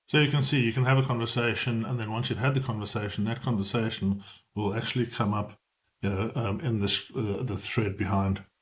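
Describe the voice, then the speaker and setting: A man speaks at a fairly quick pace in a somewhat breathy voice. His pitch is medium, with ordinary variation. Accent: South African. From South Africa. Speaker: business AI trainer. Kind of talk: tutorial. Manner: fast; hesitant, with fillers.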